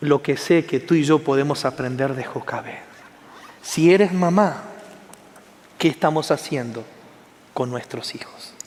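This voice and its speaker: A man with a fairly high pitch talks at a fairly slow pace, leaving long, frequent pauses. His loudness swings widely, and there is noticeable background noise. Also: ordinary pitch variation. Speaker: pastor. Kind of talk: sermon.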